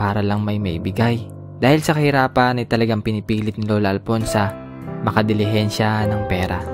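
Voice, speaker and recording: Music plays in the background as a man talks at a fairly quick pace. His pitch is fairly low and his intonation fairly even. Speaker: vlogger. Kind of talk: voice-over narration.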